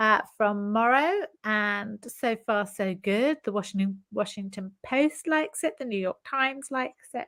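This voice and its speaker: A woman with a British accent, fairly high-pitched, at a fairly slow pace with hardly any pauses and ordinary pitch variation, in a very clean, dry, close recording with a silent background and no echo. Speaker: novelist. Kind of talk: interview. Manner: lively, talks over host.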